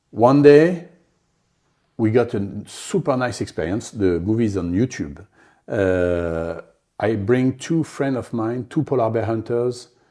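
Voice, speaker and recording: With a French accent and a dark, mellow tone, the speaker uses lively intonation at a fairly slow pace with long, frequent pauses, in a very clean recording with a silent background. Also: man, medium pitch for a man. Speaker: polar explorer. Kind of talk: interview. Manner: halting.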